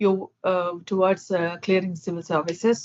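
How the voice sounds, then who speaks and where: The speaker is a woman. She talks with a Keralan accent. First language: Malayalam. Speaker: English conversation tutor. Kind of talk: casual chat with feedback. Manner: fast, talks without pauses.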